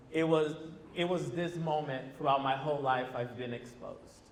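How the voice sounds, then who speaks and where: A man at medium pitch and a moderate pace, with audible room echo. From Brazil. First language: Portuguese. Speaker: former teacher, panelist. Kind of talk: panel discussion.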